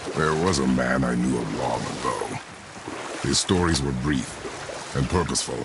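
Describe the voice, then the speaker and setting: Over clear background noise, a man does a gruff, put-on character voice at a very deep, low pitch and a moderate pace. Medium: video game. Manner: terse, gruff.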